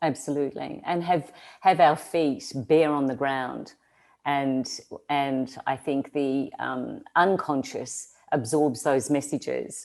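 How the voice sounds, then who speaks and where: On a very clean recording with a silent background, a woman with an Australian accent speaks very slowly at a very deep, low pitch, her intonation fairly even. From Australia, rural. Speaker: social-change agent, entrepreneur. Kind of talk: interview. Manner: halting, many fillers.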